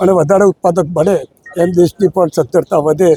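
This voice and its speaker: A man's high-pitched voice, dark and mellow in tone, the sound dry and close with no echo. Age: old. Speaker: elected dairy cooperative director. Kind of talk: press interview.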